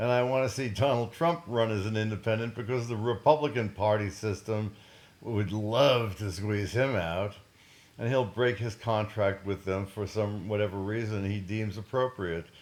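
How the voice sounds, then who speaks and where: A man with an American accent speaks at a moderate pace. His pitch is fairly low with ordinary variation. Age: 60s. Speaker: scientist and cannabis activist. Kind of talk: political monologue. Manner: animated.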